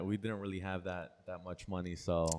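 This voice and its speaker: A man speaks with a Spanish accent. His intonation is fairly even and his pace moderate. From Paterson, New Jersey, US (early childhood in Peru). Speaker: personal trainer. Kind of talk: podcast interview. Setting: trainer's own space.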